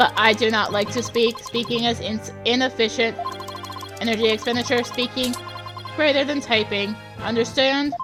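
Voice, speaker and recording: Over clear background music, a robotic, female-sounding put-on character voice speaks at a moderate pace with a fairly high pitch. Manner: flat, terse, monotone.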